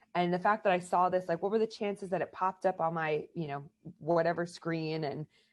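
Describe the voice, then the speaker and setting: Fairly low-pitched woman's voice with an American accent and a fairly quick pace. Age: 30s. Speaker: American football player and coach. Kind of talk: interview. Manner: animated.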